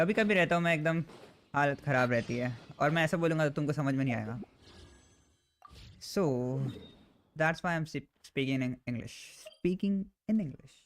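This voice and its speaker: A man talks with an Indian accent at a fairly high pitch. He leaves long, frequent pauses. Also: ordinary pitch variation, moderate pace. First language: Hindi. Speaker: gaming livestreamer. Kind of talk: casual chat.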